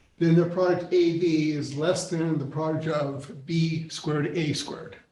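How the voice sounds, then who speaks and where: Audible room echo surrounds a man speaking at a fairly high pitch in monotone, flat intonation at a fairly slow pace. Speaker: mathematics professor. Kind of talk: lecture. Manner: halting.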